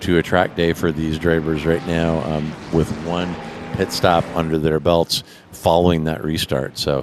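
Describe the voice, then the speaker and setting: Over noticeable background noise, a man speaks at a moderate pace in a very deep, low pitch. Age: 50s. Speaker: sim racing commentator and driver. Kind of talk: live commentary. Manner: hesitant, many fillers.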